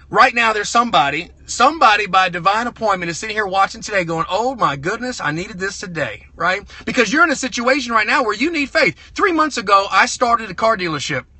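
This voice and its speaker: A high-pitched man with a Southern US accent, very fast with hardly any pauses, lively intonation and an animated tone, over noticeable background noise. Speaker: car dealer and motivational speaker. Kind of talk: motivational livestream talk. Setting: live stream from a truck over Bluetooth.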